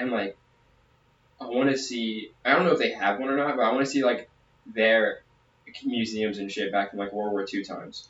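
A man speaks at a medium pitch and moderate pace, with ordinary pitch variation. He leaves long, frequent pauses, and there is noticeable background noise. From southern Louisiana. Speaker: podcast co-host, soldier. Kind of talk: casual chat.

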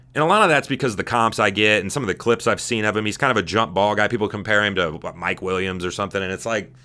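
Speaking very fast with an American accent, a man uses a fairly low pitch, a bright, sharp tone, ordinary pitch variation and an animated delivery. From Southern California. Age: 30s. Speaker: sports podcast host. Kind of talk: solo podcast monologue. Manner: casual, animated; halting with repetitions and fillers.

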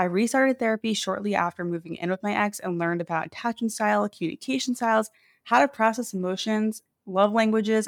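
A woman's voice in an American accent at a fairly quick pace, with ordinary pitch variation and a dry, close sound with no echo. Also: very clean recording, silent background. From US Northeast, New York City. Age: 30s. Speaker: podcast host. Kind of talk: casual solo podcast monologue. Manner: animated.

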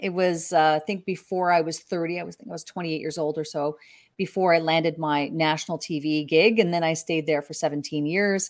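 A woman with a Canadian accent has an ordinary speaking voice, a fairly low pitch and ordinary pitch variation, moving at a fairly quick pace with big swings in loudness in a very clean recording with a silent background. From Canada. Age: 40s. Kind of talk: interview. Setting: live video stream.

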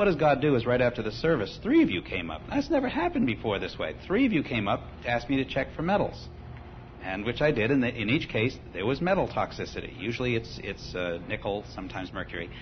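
Somewhat breathy, the voice races at a very fast pace with very wide pitch swings. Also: man, medium pitch for a man. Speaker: congregation member giving testimony. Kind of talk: testimony.

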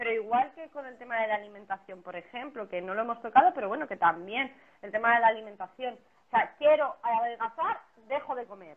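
A woman's fairly high voice at a fairly quick pace, with lively intonation, big swings in loudness and noticeable background noise. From Spain. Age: 30s. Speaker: personal trainer. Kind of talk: casual interview on a livestream. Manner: animated.

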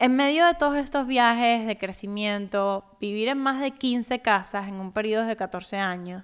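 Over a very clean recording with a silent background, a woman with a fairly high pitch and ordinary pitch variation talks at a fairly slow pace. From Cuba, Havana. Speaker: podcast host, personal finance educator. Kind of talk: personal monologue.

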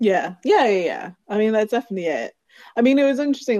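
In a Received Pronunciation accent, a woman with a dark, mellow tone speaks with ordinary pitch variation in a dry, close sound with no echo. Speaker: podcast guest, longtime friend of host. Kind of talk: casual chat. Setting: online audio call.

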